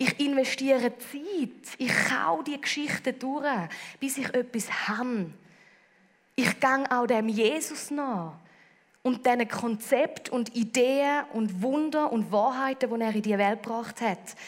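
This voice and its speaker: Speaking in a Swiss accent, a woman uses a high pitch with ordinary pitch variation. Her pace is very slow. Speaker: preacher. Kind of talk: sermon.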